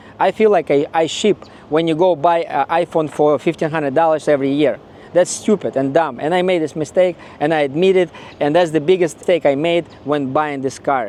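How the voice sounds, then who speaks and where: With a Ukrainian accent, a man talks at a fairly quick pace in a fairly high pitch, his intonation fairly even over noticeable background noise. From Ukraine. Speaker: car owner vlogger. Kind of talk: casual video review.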